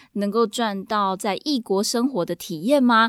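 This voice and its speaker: A woman's ordinary speaking voice, fairly high in pitch, at a fairly slow pace with ordinary pitch variation, on a very clean recording with a silent background. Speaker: podcast host and Mandarin teacher. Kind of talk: solo podcast monologue.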